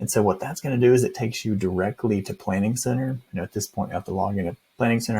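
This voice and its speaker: A man's fairly low, somewhat breathy voice, dark and mellow in tone, at a very fast pace with ordinary pitch variation. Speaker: software company founder giving product demo. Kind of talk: screen-share product demo. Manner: casual, upbeat.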